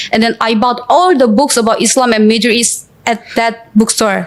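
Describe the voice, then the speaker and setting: Fairly high in pitch, a woman with a Korean accent speaks at a moderate pace with fairly even intonation. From South Korea, Seoul. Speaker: student and brand ambassador. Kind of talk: interview testimony. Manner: halting with many fillers.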